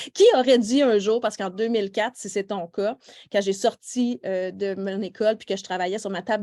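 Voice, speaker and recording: A woman in a Quebec accent, dark and mellow in tone, medium in pitch, with fairly even intonation at a moderate pace. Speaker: nail technician trainer. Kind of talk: live online workshop. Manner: casual, many fillers.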